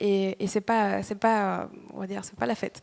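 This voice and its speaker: This woman talks at a moderate pace with a slight Spanish accent. The recording is very clean, with a silent background. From Dominican Republic. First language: Spanish (speaking French). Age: 30s. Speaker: startup employee. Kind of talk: motivational talk. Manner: halting.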